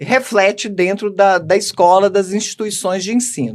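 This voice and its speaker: Her pace is fairly slow, and this woman's pitch is medium. She uses ordinary pitch variation. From Minas Gerais, Belo Horizonte. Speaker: educational manager, book co-author. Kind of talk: podcast interview.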